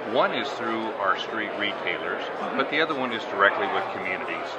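Through loud background noise, a man talks at a fairly quick pace. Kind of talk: interview answer. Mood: proud, upbeat. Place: hall. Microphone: camera far.

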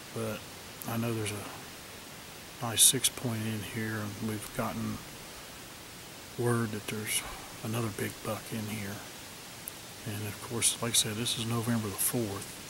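A man at a fairly slow pace with long, frequent pauses, dry sound with no echo, and noticeable background noise. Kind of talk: casual vlog chat. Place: forest. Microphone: phone near.

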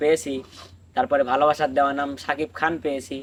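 A man speaks in a normal speaking voice. His pitch is fairly high and his intonation fairly even. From Bangladesh, Pabna district. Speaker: folk singer. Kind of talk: life story in casual chat.

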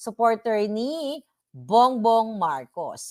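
A woman speaks with a fairly high voice. The sound is dry and close with no echo, on a very clean recording with a silent background. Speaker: vlogger. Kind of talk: interview.

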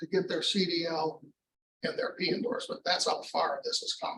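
A man talks at a moderate pace. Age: 60s. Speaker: county transit manager. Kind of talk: public meeting report. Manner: halting.

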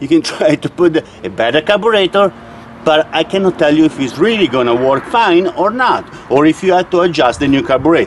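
Over faint background noise, a man with a fairly high pitch talks at a fairly quick pace with lively intonation and few pauses.

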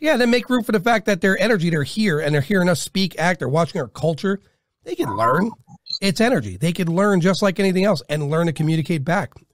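A man's high-pitched, very fast delivery with lively intonation. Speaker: podcast host. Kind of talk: podcast interview conversation.

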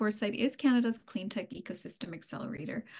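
The voice is somewhat breathy. The background is quiet. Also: woman. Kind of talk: webinar opening remarks. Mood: friendly, welcoming. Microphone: video call.

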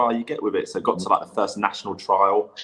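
A man speaks with an English accent. The background is quiet. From England. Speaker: former footballer and youth coach. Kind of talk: casual interview. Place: home room.

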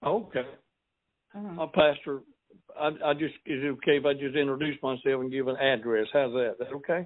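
Using a Southern US accent, a man talks at a fairly quick pace in a fairly high pitch with ordinary pitch variation. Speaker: pastor. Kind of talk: interview. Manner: preachy.

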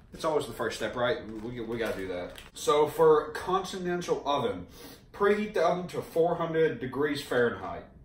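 With audible room echo around him, a man speaks at a moderate pace. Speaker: home cook vlogger. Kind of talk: casual comedic cooking vlog. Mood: joking, playful. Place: kitchen. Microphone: camera far.

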